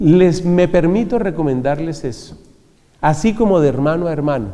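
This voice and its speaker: A man with a high pitch speaks at a moderate pace with lively intonation. Room echo is audible. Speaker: friar and preacher. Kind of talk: religious talk.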